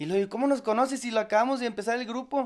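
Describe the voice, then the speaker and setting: Over a quiet background, a man speaks at a very fast pace with ordinary pitch variation. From Monterrey, northern Mexico; Mexico. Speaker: ska band singer; interviewee. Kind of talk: casual interview chat. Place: home room. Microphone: handheld.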